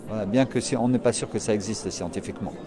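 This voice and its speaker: With crowd noise in the background, a man speaks at a moderate pace and a medium pitch. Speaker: spiritual therapist and yoga teacher. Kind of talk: interview. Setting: trade fair stand.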